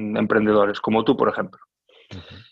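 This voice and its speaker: A man's voice over a quiet background. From Galicia, Spain (Coruña and Lugo). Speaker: orchestral clarinetist. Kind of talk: casual interview. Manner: halting, many repetitions; calm.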